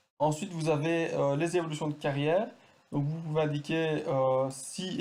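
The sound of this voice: A man speaks at a moderate pace with a fairly high pitch and a slightly mellow tone. His intonation is fairly even, and room echo is audible.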